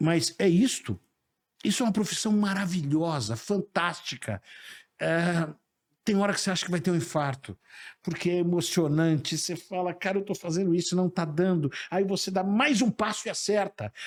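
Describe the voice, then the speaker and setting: A man's high-pitched voice with ordinary pitch variation, on a very clean recording with a silent background. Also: moderate pace. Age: 60s. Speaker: sales professor and speaker. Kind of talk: interview conversation. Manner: animated.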